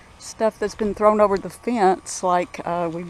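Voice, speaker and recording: A woman speaks in a Southern US accent. Her pace is fairly slow. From Arkansas. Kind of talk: casual walking narration to camera. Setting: outdoors.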